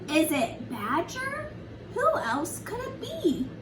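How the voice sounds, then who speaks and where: A woman's put-on character voice at a very slow pace, with loud background noise. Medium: read story. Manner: questioning, wondering.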